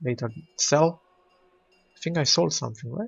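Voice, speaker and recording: A man speaks with a non-native accent. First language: not English. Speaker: video game streamer. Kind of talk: gameplay commentary. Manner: casual, hesitant with fillers.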